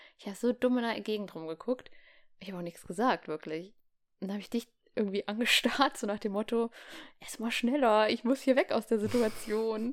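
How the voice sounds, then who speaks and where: Animated in tone, a woman talks at a fairly quick pace and fairly high pitch with ordinary pitch variation. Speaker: podcast co-host. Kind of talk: casual chat. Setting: home room.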